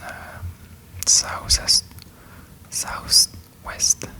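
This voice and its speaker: A whisper comes through with noticeable noise in the background. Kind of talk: ASMR reading and tracing. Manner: whispered; slow, hesitant.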